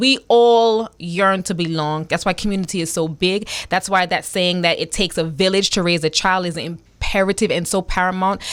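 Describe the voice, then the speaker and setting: On a very clean recording with a silent background, a woman speaks in an animated tone with ordinary pitch variation. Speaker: radio talk show host. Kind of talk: radio interview intro. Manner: fast.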